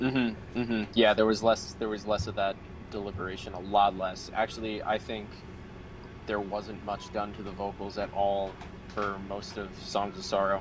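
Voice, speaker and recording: Fairly low-pitched male speech at a moderate pace, monotone and flat in intonation, over noticeable background noise. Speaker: metal band vocalist. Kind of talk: interview. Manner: halting.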